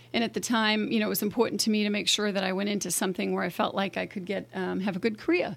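Very fast speech from a woman with an American accent, vocal fry and fairly even intonation. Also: medium pitch for a woman, hardly any pauses. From Boston. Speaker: mayor. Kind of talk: casual interview chat. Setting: studio.

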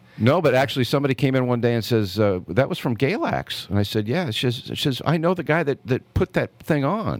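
With an American accent and vocal fry, the speaker moves at a fairly quick pace with lively intonation and hardly any pauses. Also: man, medium pitch for a man. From Oakland, California. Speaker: barbecue champion. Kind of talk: interview. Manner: halting.

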